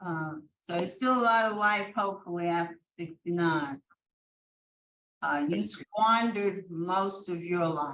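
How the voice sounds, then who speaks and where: A woman with an unremarkable speaking voice, ordinary pitch variation and a fairly slow pace. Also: fairly low pitch for a woman. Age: 60s. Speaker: parole board member. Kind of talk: parole board vote.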